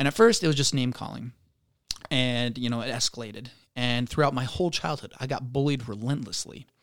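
A man with an American accent and an unremarkable speaking voice, medium pitch, fairly even intonation and a fairly quick pace. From Utah. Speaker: high school counselor. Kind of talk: casual chat. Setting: studio.

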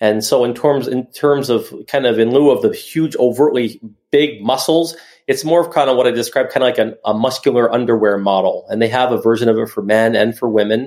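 With ordinary pitch variation and a fairly quick pace, this is an ordinary speaking voice. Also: man, medium pitch for a man. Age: 40s. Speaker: author and physique competitor. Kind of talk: interview.

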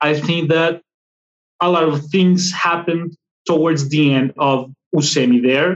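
A man with a Spanish accent speaks at a fairly slow pace. His pitch varies in an ordinary way. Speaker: film editor and filmmaker. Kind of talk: interview conversation.

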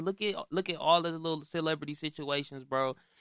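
Talking very fast with an American accent, a man uses a high pitch. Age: 20s. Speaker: R&B singer. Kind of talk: casual chat. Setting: studio.

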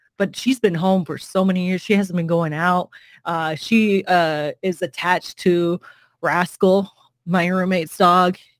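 A woman's unremarkable speaking voice, medium in pitch with fairly even intonation and a fairly slow pace, in a dry, close sound with no echo on a very clean recording with a silent background. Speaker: Twitch streamer. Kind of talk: casual chat interview.

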